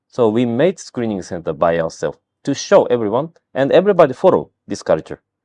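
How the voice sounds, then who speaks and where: A man with a Japanese accent talks at a medium pitch, his voice making very wide pitch swings. The sound is dry and close with no echo, over a quiet background. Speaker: health screening company founder. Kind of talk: interview. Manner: halting.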